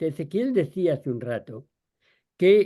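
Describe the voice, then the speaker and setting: A man talks with a dark, mellow tone. He keeps a moderate pace. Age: 80s. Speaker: agronomist, panel guest. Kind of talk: panel discussion.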